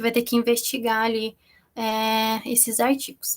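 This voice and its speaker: This woman speaks with a fairly high pitch. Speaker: minicourse instructor on research methodology. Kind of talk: online course lecture. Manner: fast.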